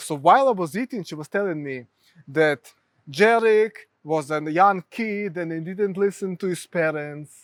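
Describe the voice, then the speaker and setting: A man's high voice with a Ukrainian accent, at a moderate pace with ordinary pitch variation, in a dry, close recording with no echo, very clean and with a silent background. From Ukraine. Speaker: mental health therapist. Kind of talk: interview.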